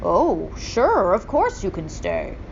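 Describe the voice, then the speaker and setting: A woman in a put-on character voice, with clear background noise. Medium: read story. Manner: excited, exclaiming.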